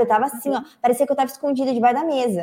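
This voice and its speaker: This woman speaks with a high pitch. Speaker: journalist and online course teacher. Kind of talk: live-stream interview. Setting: live stream. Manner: animated.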